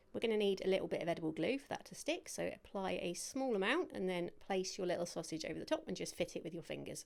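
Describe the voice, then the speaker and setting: Talking at a very fast pace with a British accent, a woman uses a medium pitch, lively intonation, and vocal fry. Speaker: cake decorating instructor. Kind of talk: tutorial. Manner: stumbling over words.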